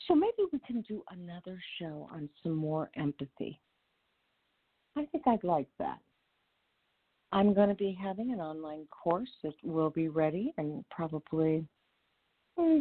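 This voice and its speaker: A woman's fairly low voice at a fairly slow pace, with lively intonation, big swings in loudness, and long, frequent pauses. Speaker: psychotherapist and relationship coach, radio host. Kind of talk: radio talk show monologue. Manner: animated.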